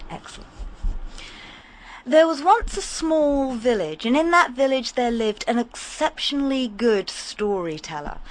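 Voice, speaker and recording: Speaking at a fairly slow pace, a woman with a high voice uses very wide pitch swings. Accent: southern English. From Hampshire, southern England. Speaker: storyteller. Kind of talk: radio interview; storytelling. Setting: radio studio.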